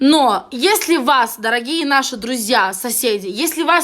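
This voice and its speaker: A woman uses a raised, projected voice, high-pitched and bright, sharp in tone, with lively intonation at a fairly slow pace. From Moldova. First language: Romanian (Moldovan) (speaking Russian). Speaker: vlogger. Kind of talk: angry video rant. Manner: halting; heated.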